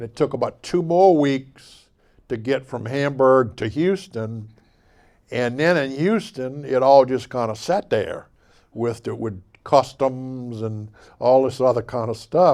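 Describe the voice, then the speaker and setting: In a Mississippi accent, a man speaks at a medium pitch and a fairly slow pace with ordinary pitch variation. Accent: Southern US, Mississippi. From Bay St. Louis, Mississippi. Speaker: local historian, artist, and musician. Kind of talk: author talk. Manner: casual, folksy.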